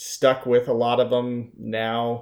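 An ordinary speaking voice in an American accent at a fairly slow pace, on a very clean recording with a silent background. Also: man. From Utah, Salt Lake City. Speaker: former attorney in addiction recovery. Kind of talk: casual chat.

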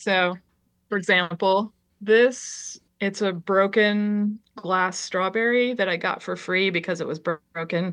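Someone with an American accent speaks at a fairly slow pace, the intonation fairly even. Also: woman, medium pitch for a woman. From Connecticut. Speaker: artist and educator. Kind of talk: casual interview. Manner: halting, many fillers.

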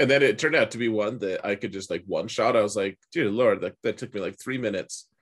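In a very clean recording with a silent background, a man speaks in a plain, everyday voice at medium pitch, with ordinary pitch variation and a fairly quick pace.

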